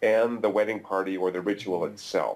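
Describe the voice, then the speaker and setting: This man talks at a fairly quick pace with a fairly low pitch. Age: 50s. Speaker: neuroeconomics professor. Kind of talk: interview. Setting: video call. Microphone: video call.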